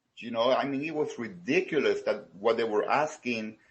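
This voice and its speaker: A man with a Salvadoran accent at a moderate pace. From El Salvador. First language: Spanish. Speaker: small business owner. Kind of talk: research interview. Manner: halting, many fillers and repetitions.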